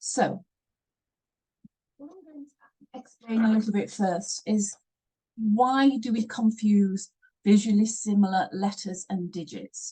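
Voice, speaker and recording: Speaking at a very slow pace with long, frequent pauses, a woman with a fairly high pitch, a dark, mellow tone and a somewhat breathy quality shows big swings in loudness. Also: ordinary pitch variation. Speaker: online teacher. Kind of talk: tutorial.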